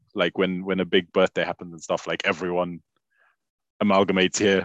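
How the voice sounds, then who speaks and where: Over a quiet background, a man with a very deep, low voice talks at a moderate pace in a flat monotone, the sound dry and close with no echo. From Zimbabwe, Harare; moved to UK at 15. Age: 30s. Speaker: travel influencer and talent manager. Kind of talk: interview. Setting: video call.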